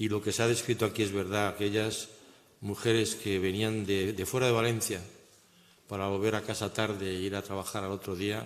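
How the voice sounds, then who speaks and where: A man speaks in a monotone, flat way. Audible room echo carries his voice. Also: fairly low pitch for a man, moderate pace. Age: 70s. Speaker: economist and conference speaker. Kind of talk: conference talk. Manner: halting.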